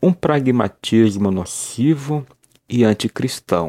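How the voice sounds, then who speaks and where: Very slowly, a man speaks at medium pitch with a dark, mellow tone. The sound is dry and close, with no echo. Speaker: preacher. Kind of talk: sermon. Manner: earnest, formal; measured, pastoral address.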